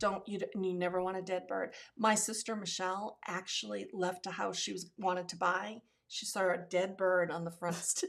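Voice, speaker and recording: Her intonation monotone and flat, a woman with an American accent speaks at a medium pitch and a moderate pace. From Massachusetts. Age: 60s. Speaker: podcast guest, host's mother. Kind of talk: casual chat.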